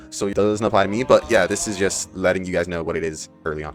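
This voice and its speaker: Music plays in the background while a man speaks. His pitch is fairly low and his pace fairly quick. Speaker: student. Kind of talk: casual explainer talk to camera. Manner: casual, conversational.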